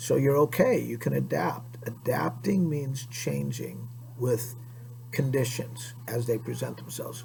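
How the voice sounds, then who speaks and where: Recorded with audible room echo and noticeable background noise, a man with an American accent speaks at a fairly slow pace. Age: 60s. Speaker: PE teacher. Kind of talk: lecture to students. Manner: conversational.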